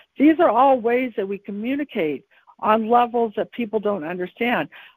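A woman with an ordinary speaking voice talks at a moderate pace, with ordinary pitch variation. The recording is very clean, with a silent background and a dry, close sound with no echo. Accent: American. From US West Coast, San Francisco Bay Area. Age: 50s. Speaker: author and psychic. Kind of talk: casual interview chat.

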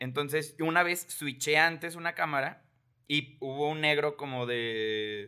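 In a Mexican accent, a man speaks fairly slowly with a fairly high pitch, a bright, sharp tone and ordinary pitch variation. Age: 20s. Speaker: entrepreneur. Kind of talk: casual chat.

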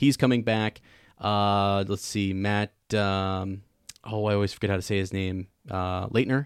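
Speaking at a fairly slow pace with fairly even intonation, a man's fairly low voice comes through a very clean recording with a silent background. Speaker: podcast host. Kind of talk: casual chat.

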